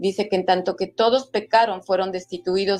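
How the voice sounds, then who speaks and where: A woman at medium pitch and moderate pace, with a plain, everyday voice. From Mexico. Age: 60s. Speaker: author. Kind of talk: interview testimony.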